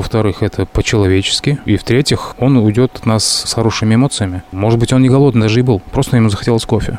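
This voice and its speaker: Over noticeable background noise, the speech moves at a very fast pace with hardly any pauses and fairly even intonation. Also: man, medium pitch for a man. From Uzbekistan, Tashkent. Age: 30s. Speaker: chef. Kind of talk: casual interview. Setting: in person.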